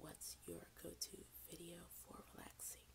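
A woman whispers at a very slow pace. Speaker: ASMR content creator. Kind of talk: casual talk to camera.

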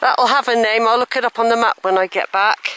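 A woman's fairly high voice, bright and sharp yet clear and smooth in tone, at a fairly quick pace with fairly even intonation, in a dry, close sound with no echo

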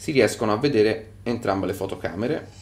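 This man has a normal speaking voice, medium in pitch, with ordinary pitch variation. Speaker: tech reviewer. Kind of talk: product review.

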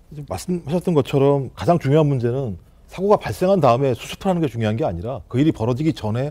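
A man with a fairly high pitch and a dark, mellow tone talks at a very fast pace, his pitch swinging very widely. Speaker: political commentator. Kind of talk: TV panel discussion. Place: studio.

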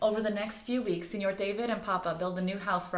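The speaker reads aloud in a natural voice. The intonation stays fairly even.

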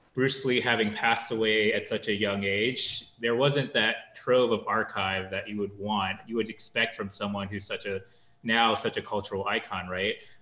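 A man with a bright, sharp tone speaks at a moderate pace and fairly even intonation, with audible room echo. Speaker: documentary film director. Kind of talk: panel interview. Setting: video call. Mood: calm, reflective. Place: home room. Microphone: video call.

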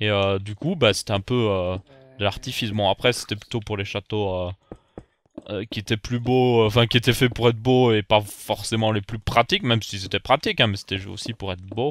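A man with a fairly low pitch speaks in a normal speaking voice at a moderate pace, his intonation fairly even and the sound dry and close with no echo. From Belgium. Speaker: gaming YouTuber. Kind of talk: Minecraft let's play commentary.

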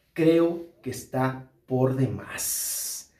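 Audible room echo is present. The voice belongs to a man. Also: quiet background. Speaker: entertainment news commentator. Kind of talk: commentary. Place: home room.

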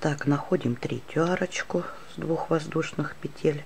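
In a very deep, low voice with ordinary pitch variation, a woman speaks at a fairly slow pace. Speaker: crochet teacher. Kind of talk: tutorial.

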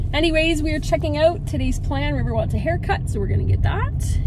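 A woman's voice sounds dry with no echo while loud background noise runs underneath. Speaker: travel vlogger. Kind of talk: casual vlog chat. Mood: cheerful, wistful. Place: car. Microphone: phone near.

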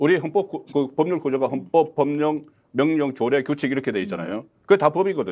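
Over a quiet background, a man talks at a fairly quick pace, his lively intonation edged with vocal fry. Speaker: political commentator. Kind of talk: political panel discussion. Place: studio. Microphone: lapel.

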